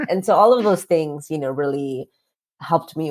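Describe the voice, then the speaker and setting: A woman speaks with a Spanish accent. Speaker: author and activist. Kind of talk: podcast interview.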